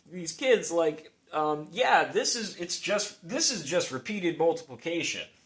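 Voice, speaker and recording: A man talks at a fairly slow pace. His voice is high-pitched. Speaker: math video creator. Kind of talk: informal math explanation. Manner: halting, self-correcting; casual, rambling with fillers.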